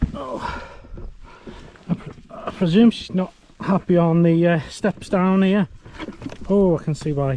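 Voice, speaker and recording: Speaking fairly slowly with long, frequent pauses, a man uses a high pitch and ordinary pitch variation. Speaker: hiking vlogger. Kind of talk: outdoor vlog narration. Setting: outdoors. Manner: hesitant.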